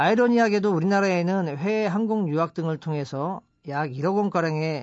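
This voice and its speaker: A man with an ordinary speaking voice and a fairly high pitch talks with lively intonation. His pace is moderate. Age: 40s. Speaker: company founder. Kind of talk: radio talk. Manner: formal.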